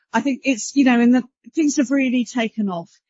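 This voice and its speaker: With a British accent, a woman speaks at a high pitch with ordinary pitch variation. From UK. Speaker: panel moderator, broadcast standards executive. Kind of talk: conference panel moderation.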